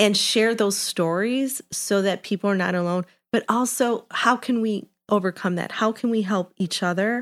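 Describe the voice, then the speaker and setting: With fairly even intonation and medium pitch, a woman speaks at a moderate pace in a very clean recording that has a silent background and a dry, close sound with no echo. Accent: Chicago. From Chicago, Little Village. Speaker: HR executive and author. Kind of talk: interview conversation. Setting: studio.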